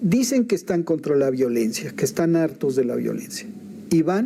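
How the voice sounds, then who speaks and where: With a fairly high pitch for a man, he speaks in very wide swings of pitch. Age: 70s. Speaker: political commentator. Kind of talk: political discussion.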